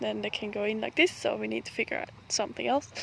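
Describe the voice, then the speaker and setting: A woman talks at a fairly quick pace. Her voice is quiet. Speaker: homestead vlogger. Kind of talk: casual garden vlog walkthrough. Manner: hushed, quiet.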